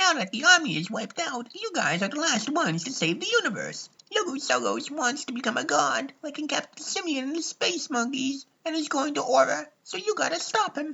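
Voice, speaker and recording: A man puts on a character voice at an extremely high pitch. He talks at a fairly quick pace. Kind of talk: comic abridged parody. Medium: fan dub. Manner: chatty, irreverent.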